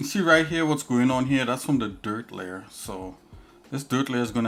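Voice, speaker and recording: A man talks at a moderate pace in a Trinidadian accent, with ordinary pitch variation. Music is in the background. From Trinidad and Tobago. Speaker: live streamer, 3D artist. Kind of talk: live stream tutorial chat. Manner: casual, halting with fillers.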